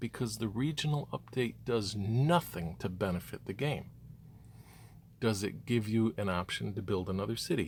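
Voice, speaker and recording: A man speaks at a moderate pace with vocal fry, a fairly low pitch, and lively intonation. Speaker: gaming youtuber. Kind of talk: rant.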